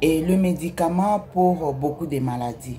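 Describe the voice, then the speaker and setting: In a Congolese accent, a woman speaks with a very deep, low pitch and ordinary pitch variation. Her pace is fairly slow, and there is noticeable background noise. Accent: non-native French, Congolese. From DR Congo, Kinshasa. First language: Lingala (speaking French). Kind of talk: religious testimony. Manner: halting.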